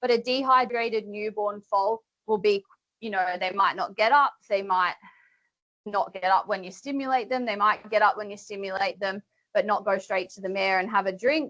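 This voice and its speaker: With an Australian accent, a woman speaks at a moderate pace in a medium pitch, her intonation fairly even. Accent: Australian twang. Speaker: veterinarian. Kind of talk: webinar presentation. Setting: webinar.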